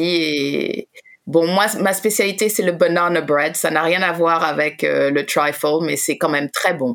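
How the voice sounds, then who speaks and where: Words come at a very slow pace with ordinary pitch variation. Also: woman. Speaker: radio host. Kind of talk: casual chat.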